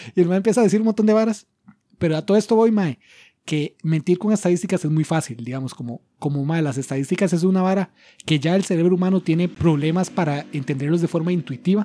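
A man with a Costa Rican accent talks very fast at a high pitch, his tone dark and mellow with ordinary pitch variation, on a very clean recording with a silent background. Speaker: podcast host. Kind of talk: casual chat. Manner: halting.

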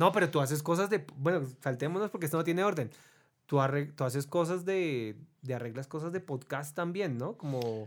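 The speaker has a plain, everyday voice with ordinary pitch variation and a moderate pace. The recording is very clean, with a silent background. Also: man, fairly high pitch for a man. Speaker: podcast host. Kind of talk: casual chat.

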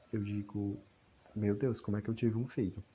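The man's voice is somewhat breathy. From Ceará, Brazil. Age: 20s. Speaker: university student. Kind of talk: personal audio diary monologue. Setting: at home in a hammock at night.

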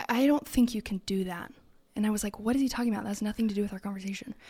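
A woman with an American accent speaks on a very clean recording with a silent background. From California. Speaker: church executive director. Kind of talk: casual chat.

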